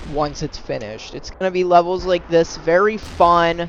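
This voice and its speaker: A man delivers his words at a fairly quick pace while noticeable background noise fills the recording. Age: young. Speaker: amateur game modder. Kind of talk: casual gameplay walkthrough. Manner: casual, hesitant with fillers.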